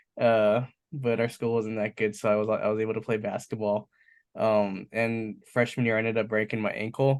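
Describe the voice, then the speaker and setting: Against a quiet background, a man with a medium pitch talks at a moderate pace in a monotone, flat intonation with very even loudness. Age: 20s. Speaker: entrepreneur. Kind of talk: casual talk. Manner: casual, filler-heavy.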